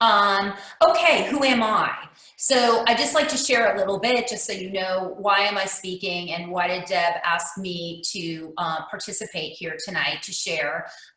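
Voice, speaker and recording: Over noticeable background noise and audible room echo, a woman speaks with lively intonation. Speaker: real estate investor. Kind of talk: presentation. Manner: hesitant, many fillers.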